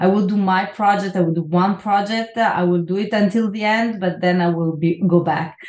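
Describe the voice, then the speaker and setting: A woman talks in a medium pitch with fairly even intonation. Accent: Italian. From Italy, Milan. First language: Italian. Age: 40s. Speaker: neuroscience professor. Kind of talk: interview. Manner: halting.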